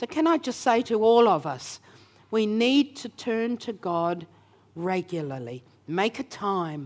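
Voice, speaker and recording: A woman with an Australian accent speaks at a fairly slow pace in a fairly high voice, her pitch swinging very widely in a very clean recording with a silent background. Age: 70s. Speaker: preacher. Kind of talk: sermon. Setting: church. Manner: animated.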